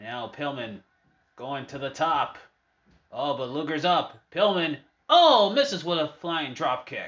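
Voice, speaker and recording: A fairly slow, fairly high-pitched male voice with ordinary pitch variation, big swings in loudness, and long, frequent pauses. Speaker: wrestling show host. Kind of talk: live-style wrestling commentary over match footage. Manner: casual, upbeat.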